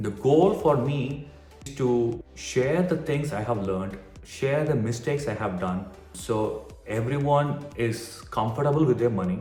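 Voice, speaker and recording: Music plays behind a man with an Indian accent who speaks at a fairly slow pace with lively intonation. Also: medium pitch for a man. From Tamil Nadu, India. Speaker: physician. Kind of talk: casual talk to camera.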